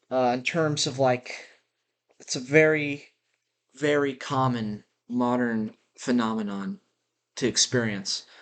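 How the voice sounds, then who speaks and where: A man with a medium-pitched voice and ordinary pitch variation speaks at a very slow pace, leaving long, frequent pauses against a quiet background. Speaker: podcaster. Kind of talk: spontaneous monologue. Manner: halting, many fillers. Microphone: built-in laptop mic.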